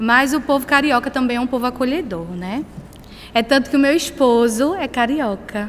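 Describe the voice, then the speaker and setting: A woman with a Pernambuco accent speaks at a moderate pace in a high voice, her pitch varying in an ordinary way. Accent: Northeastern Brazilian (Pernambuco). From Brazil, Pernambuco (small town of Pombos). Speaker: missionary. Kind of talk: sermon. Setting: church.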